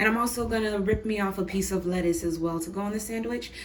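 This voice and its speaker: The voice moves with ordinary pitch variation. Audible room echo and noticeable background noise accompany it. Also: woman. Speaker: cooking channel host. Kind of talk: cooking tutorial. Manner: casual, chatty.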